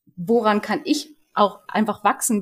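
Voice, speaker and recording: This woman has an unremarkable speaking voice, with medium pitch and a moderate pace. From Berlin. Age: 30s. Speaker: community manager. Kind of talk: casual chat.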